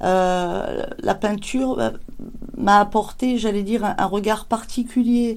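A woman with a medium pitch speaks in fairly even intonation. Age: 50s. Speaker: ceramic artist. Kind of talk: interview. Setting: workshop. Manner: halting.

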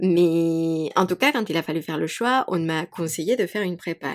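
This woman's voice sits fairly low and moves with lively intonation. The recording is very clean, with a silent background. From Mexico. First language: Spanish (speaking French). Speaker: yoga teacher and podcaster. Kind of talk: casual chat. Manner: animated.

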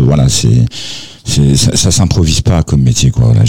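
Very slow speech from a man, with noticeable background noise. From France. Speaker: singer-songwriter. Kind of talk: interview.

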